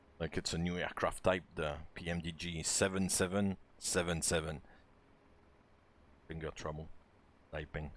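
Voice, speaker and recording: A man with a French accent speaks in a very deep, low, relaxed voice at a moderate pace, with monotone, flat intonation and long, frequent pauses. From France. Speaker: flight simulator streamer. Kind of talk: live-stream commentary and tutorial. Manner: hesitant, many filler words; casual, relaxed.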